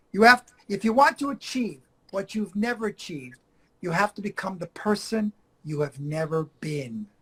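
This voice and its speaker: A man with a non-native accent speaks in a high pitch, his tone bright, sharp and animated. His intonation is lively, and the sound is dry and close with no echo. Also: moderate pace. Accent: foreign accent, works on it. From Argentina, Buenos Aires. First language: Spanish. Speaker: acting coach. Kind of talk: interview.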